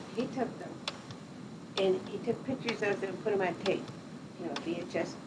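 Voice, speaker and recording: With an American accent, a woman at medium pitch talks at a fairly quick pace with ordinary pitch variation, and the recording has audible room echo and noticeable background noise. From Pittsfield, Massachusetts, US. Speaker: retired nurse. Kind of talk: oral history interview. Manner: conversational, hesitant.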